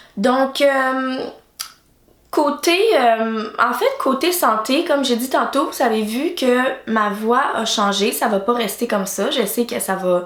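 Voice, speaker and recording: A woman speaks at a very slow pace with a high pitch and lively intonation. The room echo is audible and background noise is noticeable. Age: 20s. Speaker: YouTuber. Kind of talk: casual vlog talk. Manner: halting, many hesitations.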